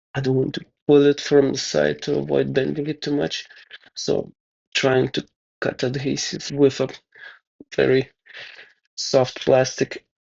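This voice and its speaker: Mumbling, a man talks with long, frequent pauses. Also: fairly slow pace. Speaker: DIY tech hobbyist. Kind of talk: tutorial. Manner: halting.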